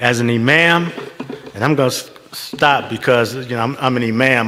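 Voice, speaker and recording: Amid noticeable background noise and audible room echo, a man speaks at medium pitch with fairly even intonation. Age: 70s. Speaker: imam. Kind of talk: speech at interfaith service.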